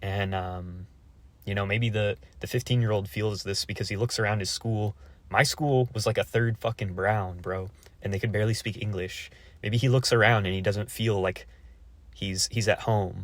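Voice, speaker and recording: With an unremarkable speaking voice, a man talks at a moderate pace in a fairly low pitch and with fairly even intonation. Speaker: YouTuber. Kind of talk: casual monologue reacting to a comment.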